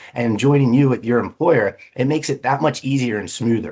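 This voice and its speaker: Speaking at a fairly quick pace, a man with a medium pitch uses an animated tone and ordinary pitch variation. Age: 40s. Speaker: leadership speaker and recruiter. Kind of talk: webinar presentation. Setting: virtual seminar, seated at screen. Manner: fast.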